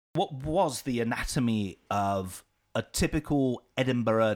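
A man with a normal speaking voice talks at medium pitch and a fairly slow pace. His intonation is lively, on a very clean recording with a silent background. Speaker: podcast host. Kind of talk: casual interview chat. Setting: studio.

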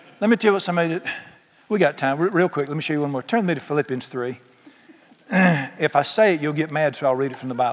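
With a Southern US accent, a man talks at a very fast pace in a fairly high pitch with ordinary pitch variation over noticeable background noise. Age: 60s. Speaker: pastor. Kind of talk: sermon. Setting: church. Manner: animated.

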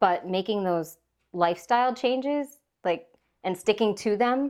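With an Upper Midwest accent, a woman speaks at a medium pitch. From Minnesota. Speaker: podcast host. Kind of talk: casual chat. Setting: home, over tea.

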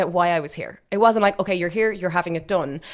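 A woman speaks with an Irish Midlands accent. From Ireland, Westmeath. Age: 30s. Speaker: fertility clinic operations manager. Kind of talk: interview about personal experience. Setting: studio. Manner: animated.

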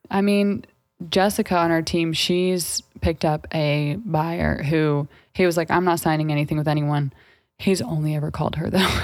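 A woman speaks at a very deep, low pitch over music playing in the background. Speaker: real estate agent podcast co-host. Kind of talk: casual chat. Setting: studio. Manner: fast; animated.

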